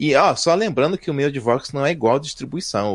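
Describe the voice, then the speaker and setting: A man with a fairly high pitch speaks at a fairly quick pace in an animated tone over a quiet background. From Brazil, Rio de Janeiro. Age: 50s. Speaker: software developer. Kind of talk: casual chat.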